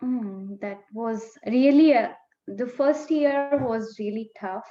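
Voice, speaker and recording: A woman's high voice in an Indian accent, dark and mellow in tone, with ordinary pitch variation and a very slow pace. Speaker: naturopath and dietetics graduate. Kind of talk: interview. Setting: video call.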